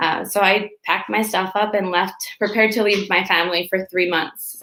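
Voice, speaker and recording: A woman's bright, sharp tone moves at a moderate pace with fairly even intonation. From Mexico (Tijuana, Baja California). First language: Spanish. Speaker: chef. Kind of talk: live storytelling. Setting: at home, streamed from own device.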